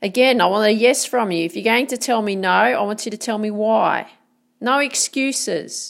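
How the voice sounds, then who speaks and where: In an Australian accent, a woman with a fairly high pitch speaks in an energetic tone at a moderate pace with ordinary pitch variation, recorded very cleanly against a silent background. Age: 40s. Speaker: motivational podcaster. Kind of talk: motivational monologue.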